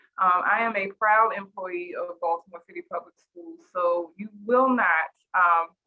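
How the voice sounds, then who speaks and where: A woman talks with a strong Southern US accent at medium pitch and a fairly slow pace. Her pitch varies in an ordinary way while her loudness swings widely. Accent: very strong Southern country twang. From US South. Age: 40s. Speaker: teacher and school coach. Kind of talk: panel introduction.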